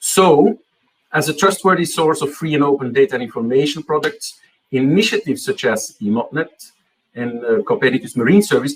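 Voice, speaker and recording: A man with a fairly high pitch talks at a fairly quick pace with lively intonation. His voice is somewhat breathy. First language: Dutch. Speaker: marine data network representative. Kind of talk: conference presentation. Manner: hesitant, many fillers.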